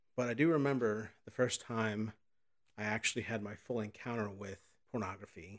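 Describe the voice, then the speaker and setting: A medium-pitched man with an American accent, talking at a moderate pace. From Southern Illinois. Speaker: podcast host in addiction recovery. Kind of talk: personal testimony; scripted narration.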